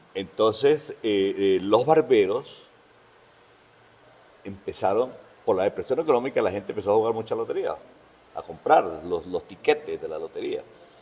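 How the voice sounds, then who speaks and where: A man with a Caracas accent, his speech broken by long, frequent pauses. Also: moderate pace. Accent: Venezuelan, Caracas. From Venezuela, Caracas (born in Bogotá, moved at 13-14). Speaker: veteran barber. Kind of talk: interview, casual conversation. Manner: hesitant, repeats words.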